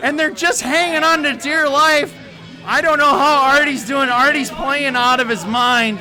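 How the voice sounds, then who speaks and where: With music in the background and audible room echo, a man uses a raised, projected voice at an extremely high pitch. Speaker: esports caster. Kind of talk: live commentary. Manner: loud; animated.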